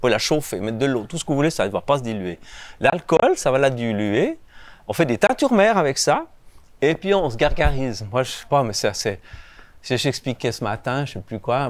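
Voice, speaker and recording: A man talks at a medium pitch. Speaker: beekeeper. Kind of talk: talk to children and public about bees. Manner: fast; animated.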